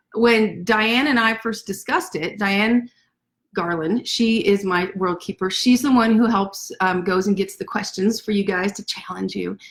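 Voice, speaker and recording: Somewhat breathy, a woman speaks at a moderate pace with a medium pitch and ordinary pitch variation. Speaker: author. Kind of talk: casual chat. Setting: livestream from home desk. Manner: animated.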